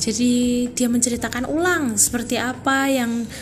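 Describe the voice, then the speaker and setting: There is noticeable background noise and audible room echo. A woman with a high pitch speaks at a fairly slow pace. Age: 20s. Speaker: university student. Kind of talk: student podcast monologue. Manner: casual, informal.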